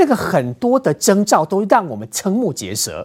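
In a very clean recording with a silent background, a man with vocal fry moves through very wide pitch swings. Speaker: TV political talk show host. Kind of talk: TV panel discussion.

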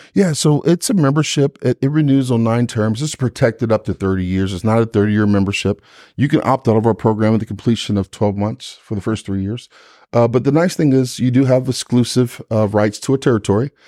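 A man's medium-pitched voice has a dark, mellow tone and ordinary pitch variation, in a dry, close sound with no echo on a very clean recording with a silent background. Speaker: vice president of sales for a lawyer association. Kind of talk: casual interview. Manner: energetic; repetitive, halting starts.

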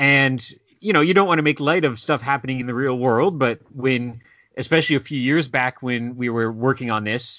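Speaking at a fairly quick pace, a man keeps to a medium pitch. It is a normal speaking voice. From Canada. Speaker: comic book writer. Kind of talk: casual interview.

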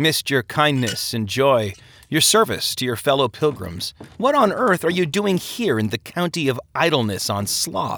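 A man's put-on character voice, medium in pitch, with big pitch swings, a fairly bright tone and a fairly slow pace

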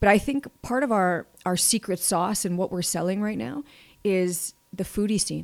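A woman with a Canadian accent and an ordinary speaking voice talks at a medium pitch and a moderate pace with lively intonation, on a very clean recording with a silent background. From Manitoba, Canada. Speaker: economic development executive. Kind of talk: interview.

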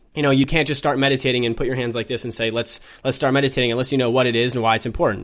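A man speaks at a very fast pace with a medium pitch. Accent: American. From US Midwest, Minnesota. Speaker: mental health startup co-founder. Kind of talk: interview.

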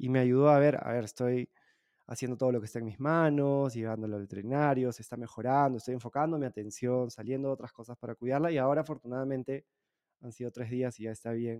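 Speaking at a very fast pace, a man has a dark, mellow tone and fairly even intonation against a quiet background. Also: medium pitch for a man. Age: 30s. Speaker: podcast host. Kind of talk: interview conversation. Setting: remote call. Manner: halting.

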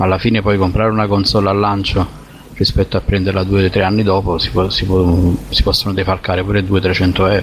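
The speech moves at a fairly quick pace with monotone, flat intonation. Noticeable background noise is present. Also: man. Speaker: podcast guest. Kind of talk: casual chat.

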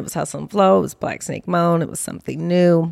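Lively intonation marks this unremarkable speaking voice with an American accent. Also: woman. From Los Angeles, US, of New Orleans Creole family. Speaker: film producer. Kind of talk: interview conversation. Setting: in her home.

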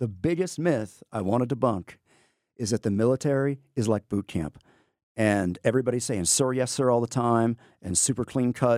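Recorded dry and close with no echo and a silent background, an ordinary speaking voice with an American accent moves at a fairly quick pace with ordinary pitch variation. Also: man. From Texas, Amarillo. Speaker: history teacher and navy veteran. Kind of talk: interview. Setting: studio.

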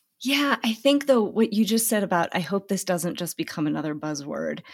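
A woman's voice with vocal fry at a fairly quick pace. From Tanzania. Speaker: podcast host and author. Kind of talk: casual interview conversation.

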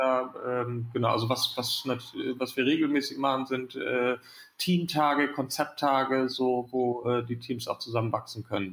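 Speaking in a normal speaking voice, a man holds a medium pitch, fairly even intonation and very even loudness. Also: fairly slow pace. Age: 30s. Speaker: founder and managing director of a youth welfare nonprofit.

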